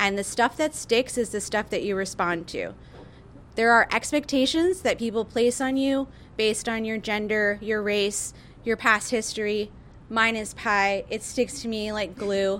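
Her pitch varies in an ordinary way as this woman speaks at a fairly slow pace. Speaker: baker and cafe owner. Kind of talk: live panel interview. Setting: stage with live audience. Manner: loud talker.

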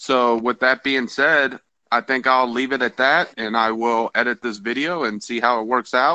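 Recorded with a dry, close sound and no echo, a man speaks at a moderate pace in a medium-pitched voice with a bright, sharp tone and fairly even intonation. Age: 30s. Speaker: podcast host and soldier. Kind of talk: casual monologue.

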